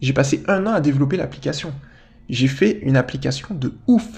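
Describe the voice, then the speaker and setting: This man's voice sits fairly high in pitch and moves with ordinary pitch variation. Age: 20s. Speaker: life coach and podcaster. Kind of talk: solo podcast monologue. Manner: casual, conversational.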